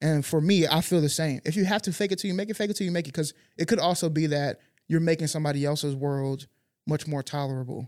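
At a very fast pace, a man with a fairly high pitch and ordinary pitch variation speaks in a very clean recording with a silent background. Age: 30s. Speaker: podcast co-host. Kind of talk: casual chat. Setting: studio.

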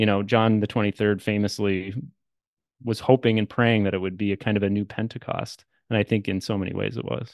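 In a Canadian accent, a man talks at a fairly quick pace with a fairly low pitch and monotone, flat intonation. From Canada. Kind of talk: casual interview conversation.

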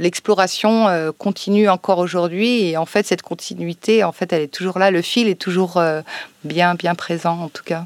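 The sound is dry and close, with no echo. A woman speaks at a moderate pace in a fairly low voice with fairly even intonation. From France, Savoie (Chambéry). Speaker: librarian and co-author. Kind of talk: public interview. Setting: library, recorded with a live audience. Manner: hesitant, many fillers.

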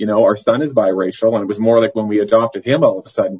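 Somewhat breathy, a man speaks at a very fast pace. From northern Manitoba, Canada. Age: 50s. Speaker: elementary school principal and LGBTQ advocate. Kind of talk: interview.

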